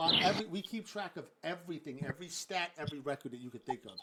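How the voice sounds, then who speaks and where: Through noticeable background noise, a man with a Brooklyn accent talks at a fairly quick pace and a high pitch. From New York, Brooklyn. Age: 40s. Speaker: gaming league host and streamer. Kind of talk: casual livestream chat.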